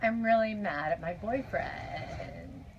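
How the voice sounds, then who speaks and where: A raspy, female-sounding put-on character voice speaks at a fairly slow pace and medium pitch. Clear background noise can be heard behind it. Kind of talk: comedic imitation of vocal fry. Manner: complaining. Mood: playful, mock complaining.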